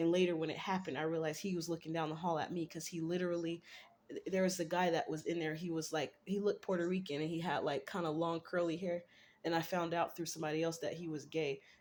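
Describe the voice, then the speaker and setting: At a very fast pace, a woman speaks in a monotone, flat intonation on a very clean recording with a silent background. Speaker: vlogger. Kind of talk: casual monologue.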